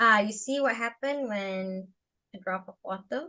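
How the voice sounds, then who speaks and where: The voice is a woman's. She speaks at a very slow pace. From Malaysia. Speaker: astronomical artist. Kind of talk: tutorial. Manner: halting.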